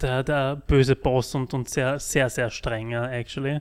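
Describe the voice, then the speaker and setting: A man speaks very slowly at medium pitch with fairly even intonation. The recording is very clean, with a silent background. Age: 30s. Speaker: podcast host, project manager. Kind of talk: casual interview.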